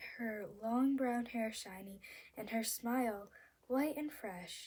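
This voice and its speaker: At a very slow pace, a woman speaks at a high pitch with a squeaky yet dark, mellow tone and ordinary pitch variation. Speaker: amateur reader. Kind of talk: novel read-aloud. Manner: halting, stumbles over words.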